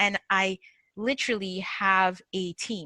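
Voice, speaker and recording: Very slowly, a woman speaks at a medium pitch in a bright, sharp tone. The recording is very clean and dry, with a silent background and a close sound with no echo. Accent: Nigerian. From northern Nigeria. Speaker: agile coach and mindset speaker. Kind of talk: podcast interview. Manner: animated.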